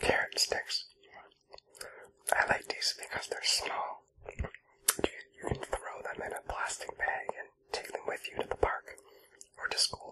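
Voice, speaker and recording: A man whispers at a fairly slow pace. His speech has long, frequent pauses. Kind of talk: ASMR eating roleplay. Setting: close-mic home recording. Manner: whispered.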